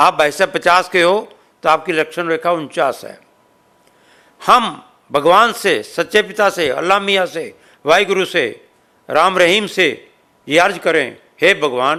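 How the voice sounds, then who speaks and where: Long, frequent pauses break up a man's high voice, which has a bright, sharp tone and ordinary pitch variation. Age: 70s. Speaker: social organization president. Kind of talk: interview.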